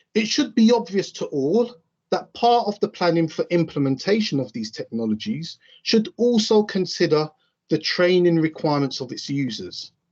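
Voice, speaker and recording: A high-pitched man with an East London accent at a moderate pace, very wide pitch swings, and a quiet background. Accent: East End London. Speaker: railway signalling trainer. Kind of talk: conference presentation.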